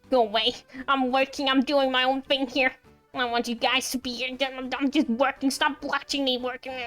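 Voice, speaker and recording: A female-sounding, put-on character voice, high in pitch, with monotone, flat intonation at a moderate pace and faint music in the background. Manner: angry, irritable.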